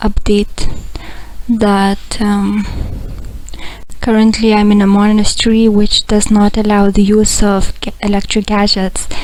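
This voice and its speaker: The voice is quiet and monotone with flat intonation, moving at a very slow pace over noticeable background noise. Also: woman. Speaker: spiritual blogger. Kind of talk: video diary update. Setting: monastery, laptop recording. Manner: quiet, hushed; halting, many fillers.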